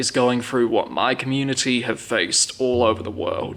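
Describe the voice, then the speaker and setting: The speaker is a man. He talks with a southern English accent. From southern England, Hampshire. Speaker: YouTuber. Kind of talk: personal video essay.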